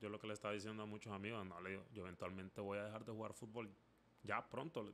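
Talking at a very fast pace, a man keeps a fairly low pitch and fairly even intonation over light background noise. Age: 30s. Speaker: podcast host. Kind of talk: solo monologue podcast. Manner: halting, many repetitions. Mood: reflective, conversational. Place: home room. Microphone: studio mic.

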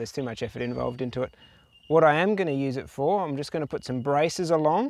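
A man's voice with ordinary pitch variation, dry and without echo. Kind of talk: casual vlog chat. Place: open country.

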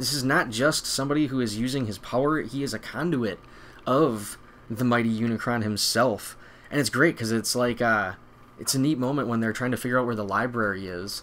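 The speaker is a man talking fairly quickly. Ordinary pitch variation runs through his speech. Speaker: video host. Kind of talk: enthusiastic fan commentary. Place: home room.

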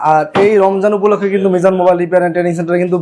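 A man speaks in a high voice. His intonation stays flat and monotone. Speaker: mobile repair trainer. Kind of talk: promotional interview.

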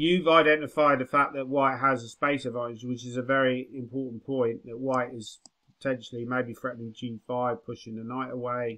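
Monotone and flat, a man's bright, sharp voice comes through with an English accent. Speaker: chess grandmaster and coach. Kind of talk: chess lesson. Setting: video call.

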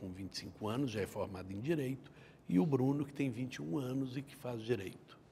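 The voice has a dark, mellow tone, somewhat breathy, with lively intonation. It moves at a moderate pace over light background noise. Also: man, big swings in loudness. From Minas Gerais, Brazil (Patos de Minas); Minas Gerais, Brazil. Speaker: judge. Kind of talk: interview. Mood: calm, reflective. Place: studio. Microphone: lapel.

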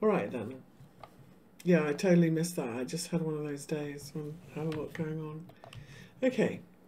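A woman's very deep, low voice with a dark, mellow tone, moderate pace, and long, frequent pauses, in audible room echo. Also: ordinary pitch variation. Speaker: crypto market analyst. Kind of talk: live-stream chart analysis. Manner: casual, conversational.

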